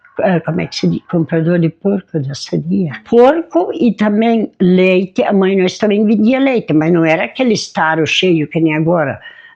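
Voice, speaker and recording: Moderate pace with hardly any pauses, over noticeable background noise. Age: 80s+. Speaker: elderly community resident. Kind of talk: oral history interview. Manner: halting.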